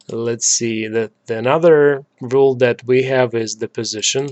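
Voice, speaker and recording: A man speaks with a non-native accent. His pitch sits in the middle range, and his intonation stays fairly even. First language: not English. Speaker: software developer tutorial maker. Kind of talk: screen-recorded coding tutorial. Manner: many filler words and hesitations.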